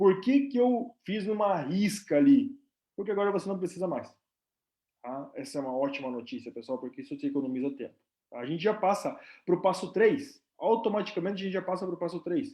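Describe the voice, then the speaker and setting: Speaking at a fairly quick pace, a man uses a high pitch and a dark, mellow tone, with very wide pitch swings. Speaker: nurse and company representative. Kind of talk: live stream presentation. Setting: live stream. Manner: casual, filler-heavy.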